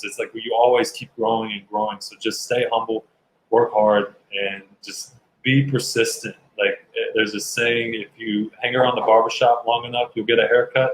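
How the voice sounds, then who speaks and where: Loudness swings widely as a man with a Southern US accent talks at a moderate pace. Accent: Southern American. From US South, Kentucky. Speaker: actor and bodybuilder. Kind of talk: interview answers.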